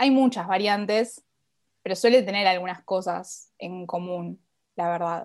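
Delivered at a moderate pace with fairly even intonation, the speech comes in a Rioplatense accent. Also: woman. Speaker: podcast guest, literature enthusiast. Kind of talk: casual chat.

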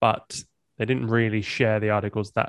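Here a man speaks at a fairly quick pace with a fairly low pitch. The sound is dry and close with no echo, over a quiet background. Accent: English. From England. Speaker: musician and podcaster. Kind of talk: casual interview chat.

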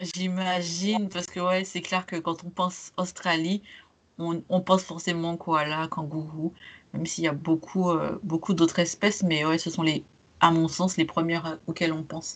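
A woman at a fairly low pitch, fairly slow and flat in monotone, over a quiet background. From Martinique. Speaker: podcast host, travel blogger. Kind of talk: casual interview chat.

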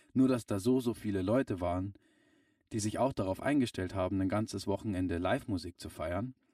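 A man talks fairly quickly in a fairly low voice with a dark, mellow tone and ordinary pitch variation. The sound is dry and close, with no echo. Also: very clean recording, silent background. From Bavaria, near Munich. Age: 20s. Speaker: musician. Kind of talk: casual interview.

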